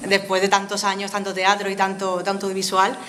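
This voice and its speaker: A woman of medium pitch speaks at a moderate pace, with audible room echo and noticeable background noise. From Spain, Villena (Alicante). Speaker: actress. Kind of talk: interview.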